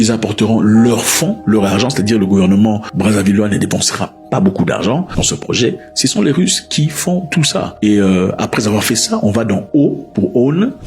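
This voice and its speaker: Music plays behind a speaker with a non-native accent at a moderate pace. The intonation is lively, the loudness very even, and there are hardly any pauses. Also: man, fairly low pitch for a man. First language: not French (speaking French). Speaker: news commentator. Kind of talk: news commentary monologue. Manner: explanatory, conversational.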